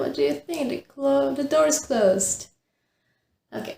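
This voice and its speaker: In a Czech accent, a woman with a high pitch and dark, mellow tone speaks at a fairly slow pace, her pitch swinging very widely. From Czech Republic, northern Bohemia. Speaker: knitting podcaster. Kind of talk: casual chat. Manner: halting.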